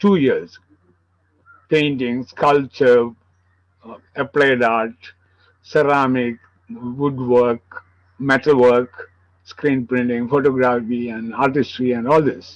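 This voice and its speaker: Speaking with a Kerala Indian accent, a man at medium pitch moves at a very slow pace, taking long, frequent pauses, his intonation fairly even while his loudness swings widely. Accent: Malayali Indian English. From India, Kerala (Palakkad, Malabar). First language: Malayalam. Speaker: sculptor. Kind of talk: interview. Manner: halting.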